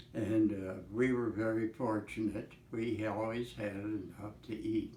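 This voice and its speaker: A somewhat breathy man at a medium pitch, speaking at a fairly slow pace. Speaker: Great Depression survivor. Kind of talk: interview answer. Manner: slow, hesitant.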